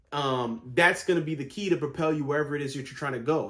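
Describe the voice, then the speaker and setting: Very fast, somewhat breathy speech from a man, fairly high in pitch. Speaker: vlogger. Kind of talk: casual vlog monologue. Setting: home, sitting in bed.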